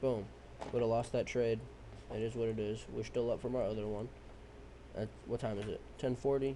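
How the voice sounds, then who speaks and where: A man's medium-pitched voice, dark and mellow in tone, at a fairly quick pace with flat, monotone intonation and long, frequent pauses. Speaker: trading educator. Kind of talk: screen-share tutorial. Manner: fast; casual, profane.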